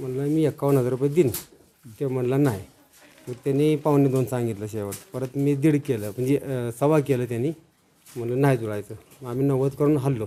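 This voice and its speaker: A man with a normal speaking voice speaks at a medium pitch with fairly even intonation. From Maharashtra, Satara district. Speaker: retired soldier and farmer. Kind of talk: casual interview storytelling.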